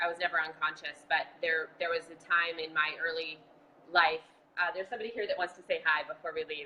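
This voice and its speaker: Over noticeable background noise, a woman with an American accent talks at a fairly quick pace in a fairly low pitch. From Boston. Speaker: marathon bombing survivor and advocate. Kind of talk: casual chat. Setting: video call.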